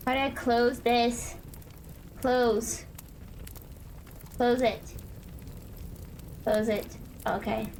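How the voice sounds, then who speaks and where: With a high pitch, a woman talks at a very slow pace, her intonation monotone and flat, her loudness very even, with long, frequent pauses and audible room echo. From Northern Ireland. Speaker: streamer. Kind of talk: gameplay stream chat.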